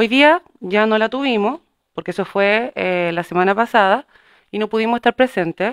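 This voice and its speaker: A woman with a fairly high voice uses an ordinary speaking voice at a moderate pace with ordinary pitch variation against a quiet background. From Chile. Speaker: city councillor. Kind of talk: formal council meeting. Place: meeting room.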